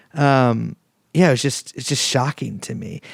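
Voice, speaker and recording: The recording is very clean, with a silent background and a dry, close sound with no echo. A man speaks at a fairly slow pace with an American accent. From San Francisco, US West Coast. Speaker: podcast host. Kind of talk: interview conversation. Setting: apartment interview. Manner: halting, many repetitions and fillers.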